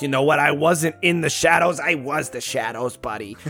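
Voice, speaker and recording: A man's raspy put-on character voice, fairly high in pitch, at a moderate pace with music in the background. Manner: menacing, gravelly.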